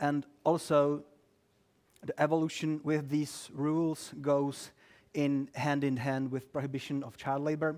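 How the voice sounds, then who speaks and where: On a very clean recording with a silent background, a fairly high-pitched man with a Czech accent speaks at a fairly slow pace in a monotone, flat delivery. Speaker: lawyer. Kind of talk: talk to a live audience. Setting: office event with audience, streamed. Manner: halting, many fillers; dry humor.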